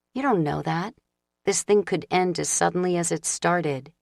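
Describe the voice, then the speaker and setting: A shaky, put-on character voice at a middle pitch and a moderate pace. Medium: read story. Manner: shaky, on the verge of tears.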